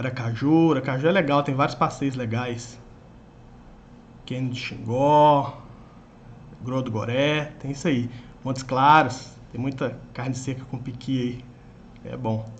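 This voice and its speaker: Medium-pitched male voice with a strong Minas Gerais accent, somewhat breathy and fairly slow, with long, frequent pauses, fairly even intonation and audible room echo. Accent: strong Minas Gerais (mineiro). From Minas Gerais, Brazil. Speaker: online exam-prep teacher. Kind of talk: live stream chat with viewers. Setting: live stream.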